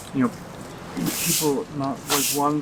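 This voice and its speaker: An American accent in a man's mid-range voice, with noticeable background noise behind it. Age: 70s. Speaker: scholar. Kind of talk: street interview. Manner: halting.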